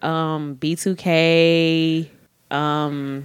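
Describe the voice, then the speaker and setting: A woman speaks with an American accent at a very deep, low pitch. The recording is very clean, with a silent background. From Atlanta, south side (College Park). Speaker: social media comedian. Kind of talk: casual interview.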